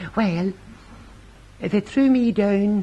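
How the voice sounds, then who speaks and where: At a high pitch, a man speaks with a Northern Irish accent. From Northern Ireland. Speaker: poet and storyteller. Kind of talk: comic rhyming monologue.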